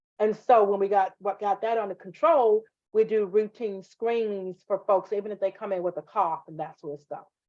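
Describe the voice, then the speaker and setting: With a Southern US accent, a woman talks at a moderate pace in a medium pitch and a dark, mellow tone. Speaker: nursing instructor. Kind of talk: online class lecture. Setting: live video class. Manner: animated.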